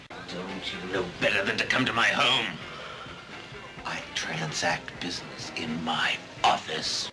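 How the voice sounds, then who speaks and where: A man puts on a raspy character voice with very deep, low pitch. He delivers it at a fairly slow pace. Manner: sinister, threatening.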